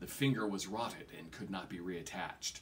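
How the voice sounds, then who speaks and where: Lively intonation runs through a man's speech at a moderate pace. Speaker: reader of a novel. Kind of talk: audiobook-style reading. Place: home room. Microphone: phone near.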